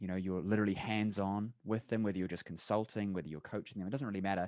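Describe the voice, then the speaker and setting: A man's fairly low voice, dry and close with no echo, on a very clean recording with a silent background. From New Zealand. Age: young. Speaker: chiropractor and business coach. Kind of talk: podcast interview pitch.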